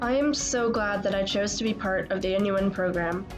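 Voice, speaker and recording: With music in the background, a woman with an American accent speaks with fairly even intonation. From Northern Virginia, USA. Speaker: college student. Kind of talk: personal documentary narration.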